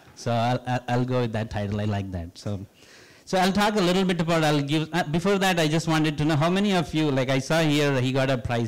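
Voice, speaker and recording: The speaker talks at a fairly quick pace with an Indian accent. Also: man. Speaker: professor. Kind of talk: public lecture. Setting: stage with audience.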